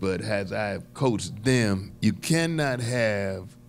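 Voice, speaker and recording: Music plays in the background as a man speaks at a very slow pace. His pitch swings very widely. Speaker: comedian podcast host. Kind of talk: panel discussion commentary. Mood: reflective, lightly humorous. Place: studio.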